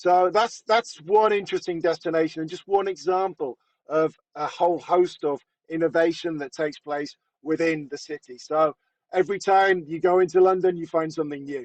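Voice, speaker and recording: Recorded dry and close with no echo, a high-pitched man with a British accent speaks at a moderate pace with fairly even intonation. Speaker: retail industry presenter. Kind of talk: webinar presentation.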